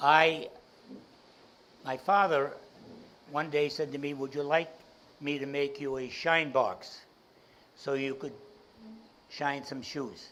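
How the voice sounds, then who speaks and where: A man with a Boston accent talks very slowly in a fairly high voice. He leaves long, frequent pauses. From Boston, South End. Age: 80s+. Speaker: entrepreneur and speaker. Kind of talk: keynote talk to audience.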